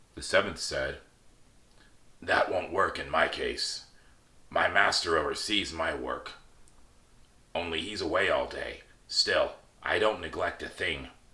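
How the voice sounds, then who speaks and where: Using a raspy put-on character voice, a man speaks at a fairly slow pace with long, frequent pauses. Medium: read story.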